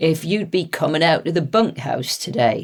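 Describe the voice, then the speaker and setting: A raspy, put-on character voice at a middle pitch plays up a West Country accent. It moves at a moderate pace. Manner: hesitant, nervous.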